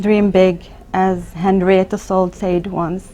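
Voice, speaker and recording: At a very slow pace, a woman with a medium pitch speaks in a monotone, flat intonation. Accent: Arabic. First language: Arabic. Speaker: emergency physician. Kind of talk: interview. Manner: halting, with repetitions.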